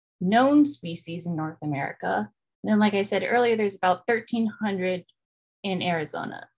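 A woman speaks with lively intonation and a somewhat breathy sound over a quiet background. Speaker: presenter. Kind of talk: lecture. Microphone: webcam.

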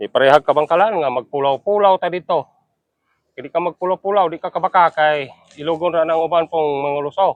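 Talking at a very fast pace, a man with a high voice keeps his intonation fairly even while his loudness swings widely. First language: Cebuano (speaking Tagalog). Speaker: cattle-raising vlogger. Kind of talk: casual vlog narration.

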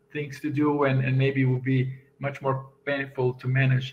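A somewhat breathy man with a Portuguese accent, fairly high-pitched, flat and monotone, at a moderate pace. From Brazil. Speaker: software engineer and conference speaker. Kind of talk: conference talk. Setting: video call. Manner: halting. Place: home room. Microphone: webcam.

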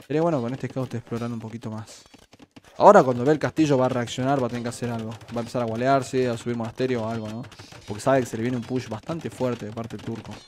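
Delivered at a very fast pace with fairly even intonation, the speech swings sharply in loudness over light background noise. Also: man. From Argentina. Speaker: streamer and game caster; streamer. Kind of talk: live commentary. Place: home room.

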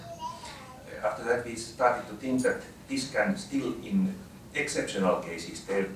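A man's words come through with light background noise and audible room echo around them. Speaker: speaker. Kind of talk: talk. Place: meeting room.

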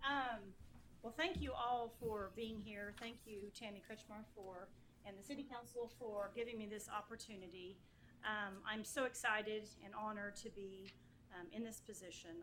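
Against audible room echo, a woman with an American accent and a fairly high pitch talks at a moderate pace with fairly even intonation. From Oklahoma (Yukon). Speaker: municipal judge. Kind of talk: acceptance speech. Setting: council chambers.

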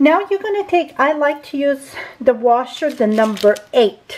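A woman speaks at a fairly slow pace in a high voice, her pitch swinging very widely. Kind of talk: tutorial.

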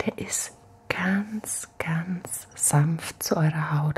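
A woman speaks softly in a relaxed, gentle tone. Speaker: ASMR creator. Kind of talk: ASMR soft-spoken skincare routine demo. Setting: home, at night, filmed on camera. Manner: soft-spoken, gentle, slow and soothing; relaxed, chatty, intimate. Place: home room. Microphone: studio mic.

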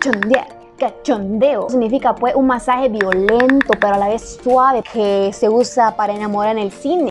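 Clear music plays behind a woman's voice. She speaks at a moderate pace with a fairly high pitch. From Chiapas, Mexico. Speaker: YouTuber. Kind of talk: casual talk to camera. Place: home room.

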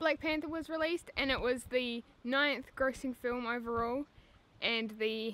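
With a New Zealand accent, a woman talks at a moderate pace, her fairly high voice bright and sharp in tone, with ordinary pitch variation. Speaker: YouTuber. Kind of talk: casual talk to camera. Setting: outdoors. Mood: upbeat, playful.

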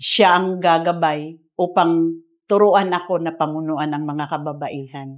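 Against a quiet background, a woman with a fairly low pitch speaks at a fairly slow pace with fairly even intonation. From Philippines. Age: 50s. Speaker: women's ministry leader. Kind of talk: testimony. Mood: earnest, grateful. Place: studio. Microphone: lapel.

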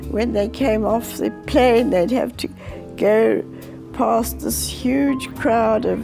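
A woman talks at a very slow pace. Clear music plays in the background. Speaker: grandmother interviewee. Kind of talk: interview answer. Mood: reflective, sometimes sorrowful. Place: home room.

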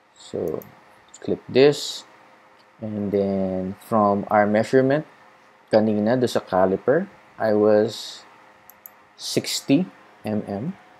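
A man speaks in a fairly low pitch with a Filipino accent and ordinary pitch variation. His delivery is very slow, broken by long, frequent pauses. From Philippines. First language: Tagalog. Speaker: cycling vlogger. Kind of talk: tutorial. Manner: casual Taglish code-switching.

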